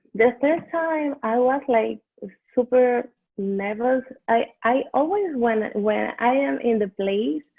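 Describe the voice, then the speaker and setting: A woman speaks at a very slow pace in a Venezuelan accent. Her high voice has lively intonation. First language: Spanish. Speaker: dental hygiene student. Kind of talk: interview. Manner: halting.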